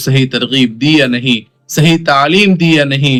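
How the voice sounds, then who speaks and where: Male speech with a bright, sharp tone and pitch that varies in an ordinary way. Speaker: Islamic preacher. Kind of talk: religious sermon explaining a hadith to the audience.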